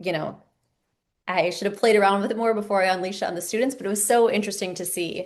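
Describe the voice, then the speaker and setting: There is audible room echo as a woman speaks very fast at a medium pitch with fairly even intonation. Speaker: teacher and PhD researcher presenting a masterclass. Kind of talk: online masterclass presentation.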